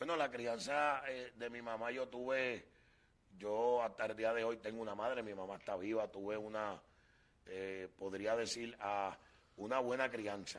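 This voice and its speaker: A man speaks at a fairly slow pace in a normal speaking voice. His pitch is medium and his intonation fairly even. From Puerto Rico, Loíza. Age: 40s. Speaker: evangelist. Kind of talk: testimony.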